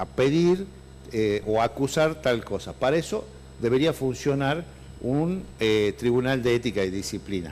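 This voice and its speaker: With lively intonation, a man at medium pitch talks at a fairly slow pace. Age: 60s. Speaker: lawyer and party politician. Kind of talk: interview. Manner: halting.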